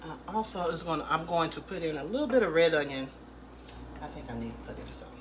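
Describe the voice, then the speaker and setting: A woman talks at a very fast pace, her loudness swinging widely. The room echo is audible, and there is noticeable background noise. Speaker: home cook. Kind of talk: cooking tutorial. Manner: quiet; casual.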